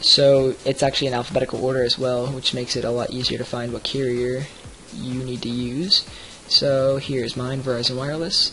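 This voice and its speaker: Speaking fairly quickly amid noticeable background noise, a man keeps a medium pitch and fairly even intonation. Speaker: software reviewer. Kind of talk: screen-recorded software review tutorial. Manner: fast; many fillers, um and uh.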